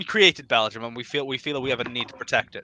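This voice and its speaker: In a Welsh accent, a man talks at a fairly quick pace. The sound is dry and close, with no echo. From Wales. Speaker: political podcast guest. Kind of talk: casual chat. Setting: live stream.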